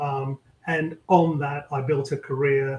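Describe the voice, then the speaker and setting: A man's somewhat breathy, fairly high-pitched voice with a British accent and monotone, flat intonation. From London, England. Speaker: tech executive. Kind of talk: interview conversation.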